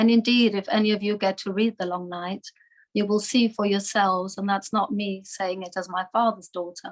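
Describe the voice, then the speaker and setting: A woman speaks with a slight German accent and fairly even intonation. The sound is dry and close, with no echo. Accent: slight German twang. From Germany (Munich, Bavaria). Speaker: Holocaust survivors' daughter, speaker. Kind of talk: talk to webinar audience. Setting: video call webinar.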